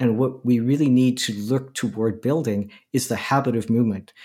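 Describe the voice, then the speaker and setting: A man's plain, everyday voice at medium pitch, with a moderate pace, ordinary pitch variation, and a very clean recording over a silent background. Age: 60s. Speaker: movement guide and anti-ageism advocate. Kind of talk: interview.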